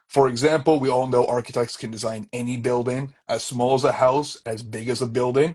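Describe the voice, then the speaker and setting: A man speaks at a medium pitch and fairly quick pace with hardly any pauses. His voice is somewhat breathy and his intonation fairly even. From Canada, Toronto area. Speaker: architectural designer, permit firm owner. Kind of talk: interview on live stream. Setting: social media live video.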